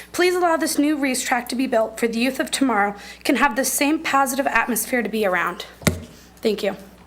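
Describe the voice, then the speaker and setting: Over noticeable background noise and audible room echo, the voice speaks in an American accent at a fairly quick pace with lively intonation and very even loudness. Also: woman, high pitch for a woman. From Norfolk, Nebraska. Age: 20s. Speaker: local resident speaking at public comment. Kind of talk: public comment at council meeting. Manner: fast.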